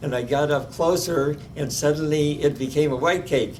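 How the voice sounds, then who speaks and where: With a Midwestern US accent, a man talks at a fairly high pitch. His pace is moderate and his intonation fairly even. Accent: US Midwest. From Omaha, Nebraska. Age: 90s. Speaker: oral history interviewee. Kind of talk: oral history interview. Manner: halting, many fillers.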